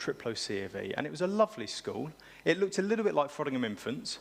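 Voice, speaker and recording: A man speaks at a very fast pace with vocal fry. His pitch swings very widely. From England, South Cambridgeshire. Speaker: pastor. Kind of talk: sermon. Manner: casual, conversational.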